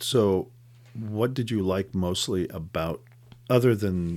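A man speaks with a very deep, low pitch and ordinary pitch variation. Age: 60s. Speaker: podcast host interviewing a young relative. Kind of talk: casual chat.

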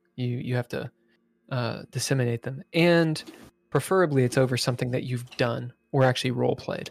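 Speaking at a fairly quick pace, a man with a normal speaking voice and medium pitch shows ordinary pitch variation in a dry, close sound with no echo. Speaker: game master running a tabletop roleplaying game. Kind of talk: tabletop roleplaying game narration and play. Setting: live-streamed show.

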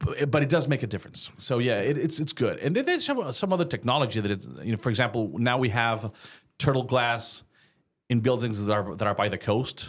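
A man with a slight Mexican accent on a very clean recording with a silent background. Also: medium pitch for a man, ordinary pitch variation. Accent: light Mexican Spanish accent in English. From Mexico. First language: Spanish.

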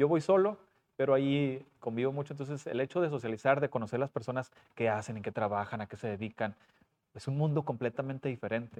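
Very fast speech with ordinary pitch variation, in a dry, close sound without echo. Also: man, medium pitch for a man. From Puebla and Coahuila, Mexico. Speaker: school principal and personal trainer. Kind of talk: casual interview.

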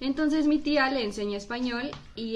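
A woman's moderately paced speech with ordinary pitch variation against noticeable background noise. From Mexico (born in US, raised in Mexico from six months). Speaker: guest, friend of the hosts. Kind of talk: casual chat. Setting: studio.

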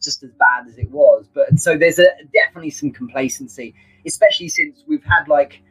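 In a British accent, a man talks at a very fast pace with big swings in loudness, the sound dry and close with no echo. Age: 40s. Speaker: sales trainer. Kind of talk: casual interview. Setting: live video stream.

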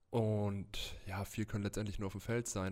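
Over a very clean recording with a silent background, a man speaks at a moderate pace in a fairly low pitch with monotone, flat intonation. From Germany, Würzburg (Lower Franconia). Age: 20s. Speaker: American football player. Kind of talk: interview.

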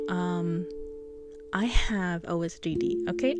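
There is clearly audible background noise and some room reverberation as a woman talks. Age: 20s. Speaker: solo podcaster. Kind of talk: casual personal monologue. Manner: chatty, laughs often.

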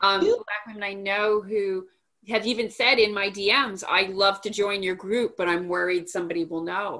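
In an ordinary speaking voice, a woman speaks at a moderate pace. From Montreal, Canada. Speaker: podcast host. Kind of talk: casual interview.

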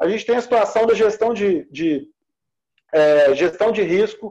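The man's voice is pitched high. Its tone is dark and mellow. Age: 40s. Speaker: lawyer. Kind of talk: interview, legal explanation.

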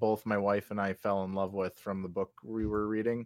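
A man speaks at a fairly quick pace with fairly low pitch and fairly even intonation, in a plain, everyday voice. The sound is dry and close, with no echo. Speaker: podcast co-host. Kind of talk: casual chat.

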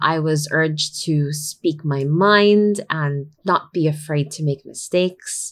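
A woman's very deep, low voice at a very slow pace, with fairly even intonation and hardly any pauses. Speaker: life coach, podcast host. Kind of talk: solo podcast talk. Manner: code-switches between English and Tagalog.

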